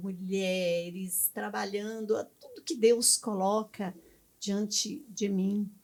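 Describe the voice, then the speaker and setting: Very slow female speech, its pitch varying in an ordinary way. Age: 70s. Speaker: missionary pastor. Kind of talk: interview.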